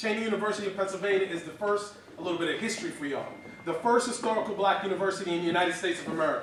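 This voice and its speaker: Loud and animated, a man with a New York accent talks at a very fast pace in a high voice, with noticeable background noise and audible room echo. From New York City (Far Rockaway, Queens). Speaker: motivational speaker. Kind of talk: keynote speech. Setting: stage with audience.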